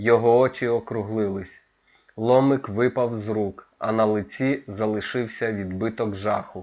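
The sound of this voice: Fairly even intonation within an unforced reading voice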